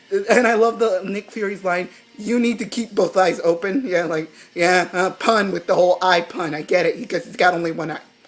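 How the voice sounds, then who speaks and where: Fairly quick speech from a woman at medium pitch, with ordinary pitch variation, big swings in loudness and noticeable background noise. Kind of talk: casual review talk to camera. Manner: rambling, hesitant.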